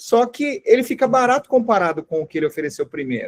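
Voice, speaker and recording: A man's fairly quick speech with very wide pitch swings, dry and close with no echo. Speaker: online sales course teacher. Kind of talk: live online class.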